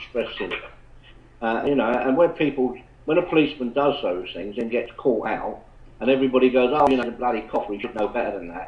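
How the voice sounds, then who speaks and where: A man speaks in a medium pitch. He talks with an English accent. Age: 70s. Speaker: retired police officer. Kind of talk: casual chat. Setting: online chat room call. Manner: halting.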